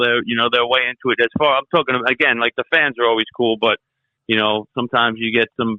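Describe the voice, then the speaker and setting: At a fairly quick pace, a man talks with monotone, flat intonation at a medium pitch. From New York. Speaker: metal vocalist and bassist. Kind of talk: interview.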